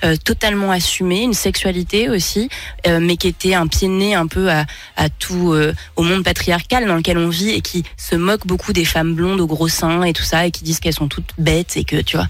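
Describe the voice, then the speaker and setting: A woman talks at a moderate pace with an unremarkable speaking voice. Her pitch sits fairly low. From France. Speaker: singer. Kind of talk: radio interview. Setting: radio studio.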